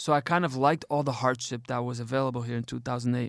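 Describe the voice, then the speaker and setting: A man of medium pitch with monotone, flat intonation, on a very clean recording with a silent background. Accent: American. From US, Detroit, Michigan. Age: 30s. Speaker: radio host and NGO founder. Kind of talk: casual interview conversation.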